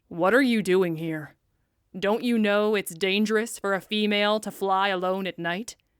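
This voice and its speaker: A woman speaks quietly at a moderate pace and medium pitch. She puts on a growling character voice. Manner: quiet, scolding.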